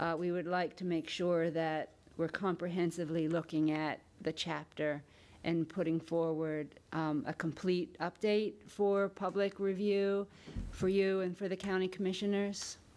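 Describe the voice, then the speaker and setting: A woman with an ordinary speaking voice speaks at a fairly low pitch and a fairly slow pace, with fairly even intonation and very even loudness. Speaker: county planning director. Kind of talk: public meeting report. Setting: county meeting room. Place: meeting room. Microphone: podium.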